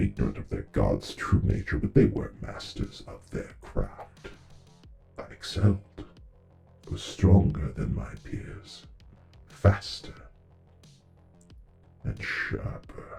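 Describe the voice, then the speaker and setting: A man does a put-on character voice, very deep and low, at a fairly slow pace. He leaves long, frequent pauses while faint music plays in the background. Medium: read story. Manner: solemn, fervent.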